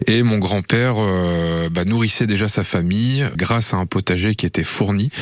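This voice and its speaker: At a moderate pace and with hardly any pauses, a man talks in a fairly low pitch with ordinary pitch variation and very even loudness. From northern France. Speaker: amateur gardener. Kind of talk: radio interview. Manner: halting.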